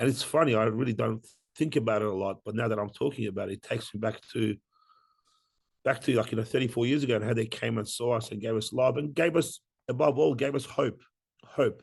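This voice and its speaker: A man with an Australian accent talks at a very fast pace, his medium pitch varying in an ordinary way. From Iran, raised in Australia from age ten. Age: 40s. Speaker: entrepreneur. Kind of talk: interview.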